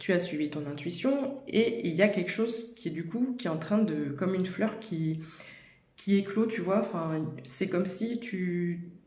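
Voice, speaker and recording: Over noticeable background noise and audible room echo, a woman speaks at a fairly slow pace with a medium pitch and lively intonation. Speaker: tarot card reader. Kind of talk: tarot reading addressed to viewer. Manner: whispering; hesitant, many fillers.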